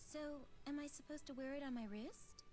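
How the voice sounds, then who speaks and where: A high-pitched, put-on character voice rushes along at a very fast pace over clear background noise. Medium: video game. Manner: polite, proper.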